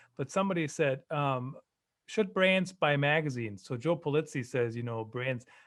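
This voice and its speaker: A man talks at a moderate pace. His voice is fairly high, with lively intonation. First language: German. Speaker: live streaming marketing expert. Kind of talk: podcast interview.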